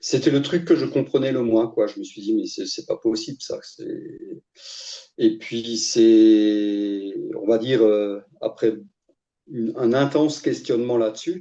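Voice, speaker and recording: A man talks at a very slow pace. His loudness swings widely. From Alsace, France (Strasbourg). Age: 60s. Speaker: coaching client, former IT worker. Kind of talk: testimony interview. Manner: hesitant, many fillers.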